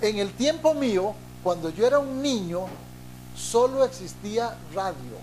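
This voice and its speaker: Audible room echo surrounds a man who speaks at a very slow pace. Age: 60s. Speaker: pastor. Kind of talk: sermon.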